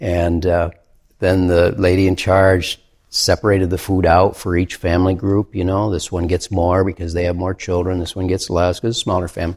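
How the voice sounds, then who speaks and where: The speaker has an American accent and flat, monotone intonation at a fairly quick pace. The recording is very clean and the background silent. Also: man, very deep, low pitch for a man. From US Midwest, central Michigan. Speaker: pastor and ministry worker. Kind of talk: interview conversation.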